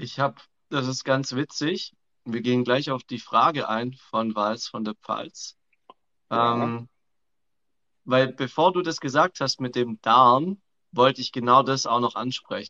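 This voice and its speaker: A man with a Swabian accent, medium pitch and ordinary pitch variation, bright, sharp tone, fairly slow pace with long, frequent pauses, in dry, close sound with no echo. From Swabia, southern Germany. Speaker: coach. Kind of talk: casual chat. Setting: live video call.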